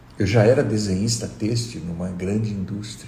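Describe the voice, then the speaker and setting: Audible echo from the room surrounds a man as he talks. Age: 60s. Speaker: meditation teacher. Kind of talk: live stream talk. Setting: live stream.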